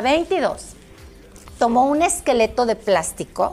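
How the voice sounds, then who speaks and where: A high-pitched woman with a Mexican accent, very wide pitch swings and a very slow pace. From Mexico. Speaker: former radio presenter and exercise teacher. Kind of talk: casual chat.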